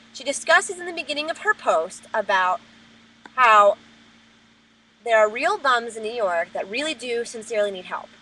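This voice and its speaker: A woman in an American accent with an animated, bright, sharp tone, fairly high pitch and very wide pitch swings, big swings in loudness, moderate pace, and long, frequent pauses. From New Jersey. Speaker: vlogger. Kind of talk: webcam rant. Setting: webcam recording.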